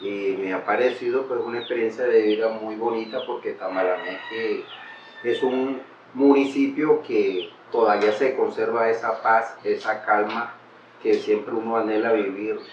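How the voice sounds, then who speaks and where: Audible room echo and noticeable background noise surround a man who speaks at a fairly slow pace. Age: 60s. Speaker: local resident. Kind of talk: testimony.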